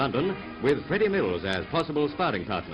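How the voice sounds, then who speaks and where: Music plays in the background. A man talks at a fairly quick pace in a fairly high pitch with very wide pitch swings. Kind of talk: newsreel narration. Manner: witty, punning.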